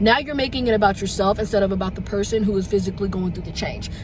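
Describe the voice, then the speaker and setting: Speaking at a very fast pace, a man with a high pitch is heard through audible room echo and noticeable background noise. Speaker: vlogger. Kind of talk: casual vlog talk.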